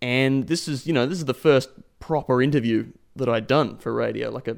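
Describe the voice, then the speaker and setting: An Australian accent marks this man's voice, with medium pitch, ordinary pitch variation and a moderate pace. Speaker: podcast host. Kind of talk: podcast narration.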